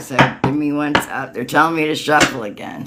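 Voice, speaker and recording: Speech at a moderate pace with noticeable background noise. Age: 60s. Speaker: tarot reader and energy healer. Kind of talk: tarot reading livestream, answering viewers. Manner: casual, informal.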